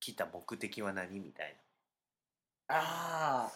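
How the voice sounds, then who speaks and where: This man speaks with a bright, sharp tone. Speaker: podcast co-host. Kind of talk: casual chat.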